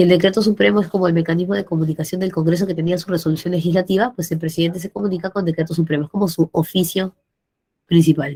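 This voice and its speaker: A woman speaks very fast at a fairly low pitch, her dark, mellow tone somewhat breathy with ordinary pitch variation. The sound is dry and close, with no echo. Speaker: pre-university teacher. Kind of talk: online class lecture.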